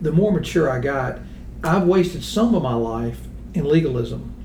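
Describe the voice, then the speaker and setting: A man's speech moves at a moderate pace, with audible room echo and noticeable background noise around it. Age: 60s. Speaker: accounting firm founder. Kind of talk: casual discussion.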